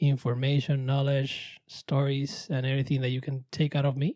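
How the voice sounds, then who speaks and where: On a very clean recording with a silent background, a man talks with a Puerto Rican accent at a moderate pace. His voice is fairly high, somewhat breathy and dark and mellow in tone. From Puerto Rico. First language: Spanish. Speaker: chef. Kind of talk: podcast interview. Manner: halting, many fillers.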